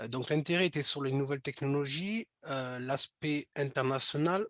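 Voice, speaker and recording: Heard in a dry, close sound with no echo, a man with a Toulouse accent speaks at a moderate pace in a medium pitch with ordinary pitch variation. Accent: Toulouse (southern French). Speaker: speech technology product developer presenting. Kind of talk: webinar presentation. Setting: online webinar. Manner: halting, many fillers and repetitions.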